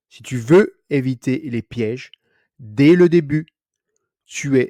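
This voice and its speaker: A man talks at a very slow pace in a dark, mellow tone, with long, frequent pauses. His loudness swings widely, and the sound is dry and close with no echo. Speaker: French language teacher. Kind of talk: tutorial. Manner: clear.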